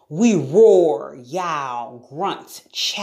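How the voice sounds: The speaker uses a natural reading voice here.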